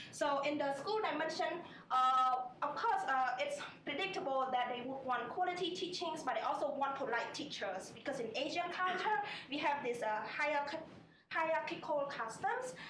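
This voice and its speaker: Audible room echo surrounds a woman speaking in a Cambodian accent. Her pitch is high, her intonation lively, and her pace moderate. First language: Khmer. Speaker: MBA student. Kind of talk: student presentation. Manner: halting, many fillers.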